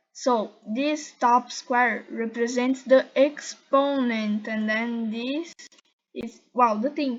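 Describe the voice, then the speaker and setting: A woman with a Portuguese accent talks at a very slow pace in a high pitch. Her intonation stays fairly even. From Brazil. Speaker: YouTuber. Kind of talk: tutorial. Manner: halting.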